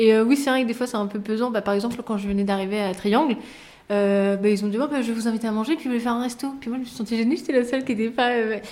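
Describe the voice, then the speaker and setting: Talking at a very fast pace, a woman keeps a fairly high pitch and fairly even intonation. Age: 20s. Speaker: recruiter. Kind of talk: interview.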